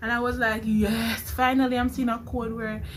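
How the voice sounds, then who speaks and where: With audible room echo, a woman talks at a fairly quick pace. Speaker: nursing student vlogger. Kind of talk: vlog storytelling.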